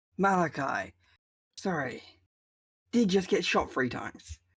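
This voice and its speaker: Using a put-on character voice, a man speaks raspy and high-pitched at a fairly slow pace with lively intonation, in a very clean recording with a silent background. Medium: actual play. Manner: flippant.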